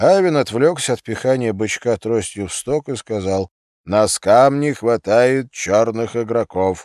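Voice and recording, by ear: Over a quiet background comes reading aloud in a natural voice.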